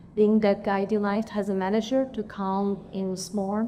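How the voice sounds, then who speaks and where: A woman's dark, mellow voice at a medium pitch, with a non-native accent. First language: not English. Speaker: manager, panelist. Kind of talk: panel discussion. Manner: halting.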